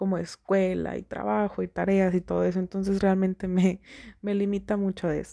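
A woman's medium-pitched voice, dark and mellow in tone, at a moderate pace, dry and close with no echo. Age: 20s. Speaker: podcast host. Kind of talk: casual monologue.

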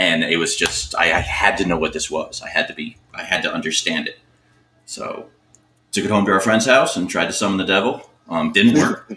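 A man speaking at a moderate pace with music in the background. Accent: American. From Miami, South Florida. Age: 40s. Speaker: guest, metal fan. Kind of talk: casual chat.

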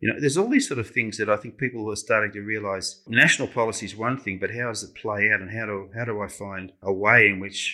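A man with an Australian accent, a fairly low pitch, a bright, sharp tone and fairly even intonation, on a very clean recording with a silent background. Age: 60s. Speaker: social worker and community campaign organiser. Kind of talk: interview.

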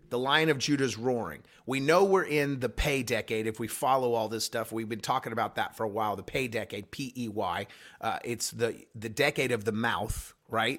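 A man with a medium pitch speaks at a moderate pace with ordinary pitch variation, a plain, everyday voice on a very clean recording with a silent background. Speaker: pastor. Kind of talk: prophetic podcast talk.

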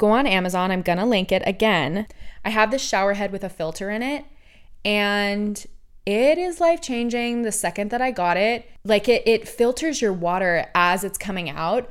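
In a very clean recording with a silent background, a woman with an American accent speaks at medium pitch and a moderate pace, her tone animated and her intonation lively. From Oregon, US. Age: 20s. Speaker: podcast host. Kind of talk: casual monologue.

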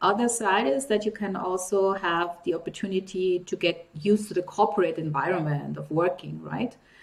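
A woman's medium-pitched voice at a moderate pace amid noticeable background noise. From Nigeria. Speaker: vlog host. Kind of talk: interview.

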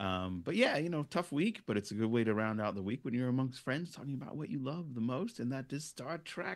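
Speaking with an American accent and an unremarkable speaking voice, a man talks at a fairly quick pace with lively intonation and hardly any pauses, in a very clean recording with a silent background. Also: medium pitch for a man. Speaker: YouTube Star Trek show host, guest. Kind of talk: casual chat.

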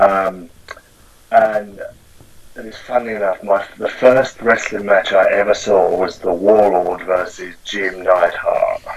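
Very slowly, a man with an American accent speaks with big swings in loudness against noticeable background noise. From Essex, England. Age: 40s. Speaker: wrestling fan. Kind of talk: casual interview chat.

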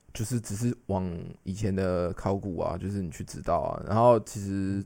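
Ordinary pitch variation in a fairly low male voice. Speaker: translator and podcast co-host. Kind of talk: casual chat.

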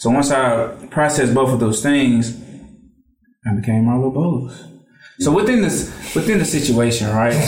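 Speaking at a moderate pace, a man uses an unremarkable speaking voice of medium pitch, with ordinary pitch variation and very even loudness. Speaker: podcast co-host. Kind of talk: casual chat.

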